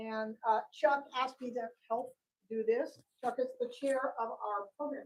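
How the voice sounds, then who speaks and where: A woman speaks loudly at a high pitch and a fairly slow pace, with fairly even intonation. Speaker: historical society member leading discussion. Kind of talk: group discussion. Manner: halting.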